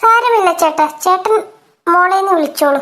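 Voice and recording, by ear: In a cartoonish character voice, a woman speaks squeakily at an extremely high pitch and a fairly slow pace.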